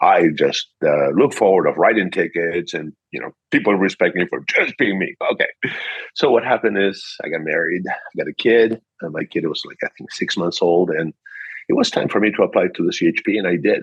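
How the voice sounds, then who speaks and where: A man with a Peruvian accent at a fairly quick pace. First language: Spanish. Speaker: car dealership manager. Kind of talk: interview. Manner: animated.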